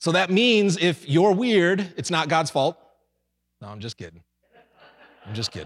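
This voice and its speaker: A man speaks in a high pitch with very wide swings and an animated, energetic tone. He leaves long, frequent pauses. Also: moderate pace, big swings in loudness. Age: 40s. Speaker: senior pastor. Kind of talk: Pentecostal-style Sunday sermon with call-and-response to the congregation. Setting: church service with live congregation. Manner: animated, energetic preaching with 'somebody say amen' prompts; stumbling repetitions and filler when excited.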